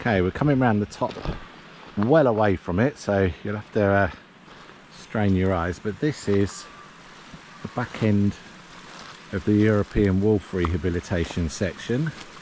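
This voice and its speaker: At a moderate pace and in a relaxed tone, the speech carries ordinary pitch variation and long, frequent pauses over noticeable background noise. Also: man, fairly low pitch for a man. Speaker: travel vlogger. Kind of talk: walking tour vlog narration. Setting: outdoors. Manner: casual, relaxed.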